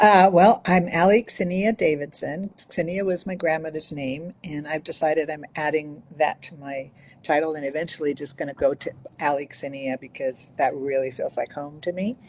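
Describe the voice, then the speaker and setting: At a moderate pace, a woman with a very deep, low voice and ordinary pitch variation swings widely in loudness. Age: 60s. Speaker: coach and counselor. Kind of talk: interview.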